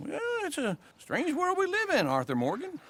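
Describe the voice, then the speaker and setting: A man puts on a character voice pitched extremely high. He keeps a moderate pace. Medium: video game.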